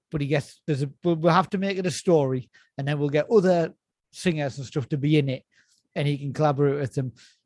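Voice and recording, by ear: This fast voice has a dark, mellow tone and ordinary pitch variation. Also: man, fairly high pitch for a man.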